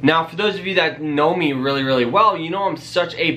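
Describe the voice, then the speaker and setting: The man's tone is upbeat and energetic. Faint music plays in the background. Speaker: personal finance YouTuber. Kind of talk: casual vlog tutorial. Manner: upbeat, energetic. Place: home room.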